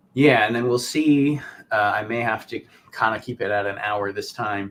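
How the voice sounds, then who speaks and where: Over noticeable background noise, a man talks at a moderate pace. His medium pitch follows fairly even intonation. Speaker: live show host. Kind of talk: casual live stream chat. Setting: live stream.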